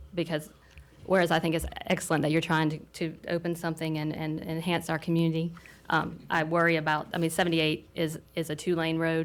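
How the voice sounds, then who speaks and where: A woman with a fairly low pitch speaks at a fairly quick pace in a flat monotone. The recording is very clean, with a silent background. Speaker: planning commissioner. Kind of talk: public meeting discussion. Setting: city planning commission meeting. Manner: loud.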